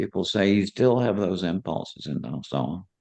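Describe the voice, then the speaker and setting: Against a quiet background, a man speaks with vocal fry and very wide pitch swings. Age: 80s+. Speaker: psychiatrist and near-death experience researcher. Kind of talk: interview. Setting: live online event with audience.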